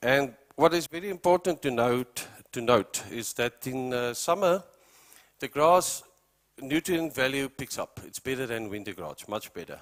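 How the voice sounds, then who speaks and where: A man with a South African accent speaks at a moderate pace and medium pitch, using lively intonation and big swings in loudness. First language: Afrikaans. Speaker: animal feed company representative. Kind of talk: presentation to farmers.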